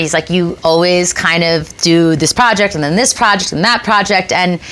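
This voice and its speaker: Noticeable background noise around a female speaker at a medium pitch. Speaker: talk show host and musician. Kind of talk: casual chat.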